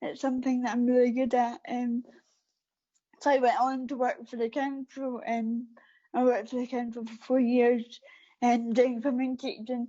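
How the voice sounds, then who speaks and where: The speaker has a Scottish accent and a moderate pace. Intonation is fairly even. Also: woman. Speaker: para athlete. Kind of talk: interview. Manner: hesitant, many fillers.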